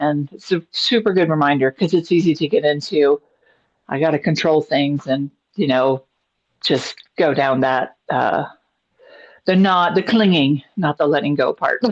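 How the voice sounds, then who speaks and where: A woman with an ordinary speaking voice talks at a moderate pace. Her intonation is lively and her loudness very even. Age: 60s. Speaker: yoga student. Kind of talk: casual chat. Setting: video call.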